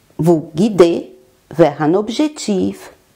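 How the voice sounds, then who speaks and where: Her voice is fairly low for a woman, with a dark, mellow tone. She speaks at a very slow pace with lively intonation. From Brazil. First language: Portuguese (speaking French). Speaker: life coach. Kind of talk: self-presentation monologue.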